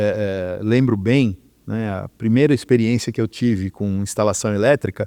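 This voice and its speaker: A man's fairly low voice has a dark, mellow tone and fairly even intonation, recorded with a dry, close sound with no echo. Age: 60s. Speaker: electrical engineer. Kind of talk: interview. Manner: halting, many fillers.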